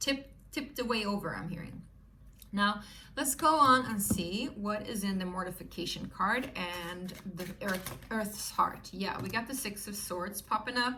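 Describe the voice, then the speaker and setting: With a Swedish accent and a medium pitch that varies in an ordinary way, a woman talks at a fairly slow pace amid audible room echo. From Sweden. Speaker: tarot reader. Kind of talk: tarot reading to viewers. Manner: animated.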